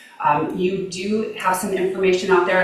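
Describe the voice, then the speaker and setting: A woman talks amid noticeable background noise, her voice carrying audible room echo. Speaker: mayoral candidate and city councilor. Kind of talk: candidate forum answer. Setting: live public forum with audience. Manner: fast.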